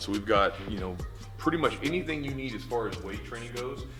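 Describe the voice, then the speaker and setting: Music can be heard behind the voice. The delivery is fairly quick. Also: man. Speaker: jiu-jitsu gym owner and instructor. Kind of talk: casual talk to camera, gym tour. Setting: large indoor gym, camera mic.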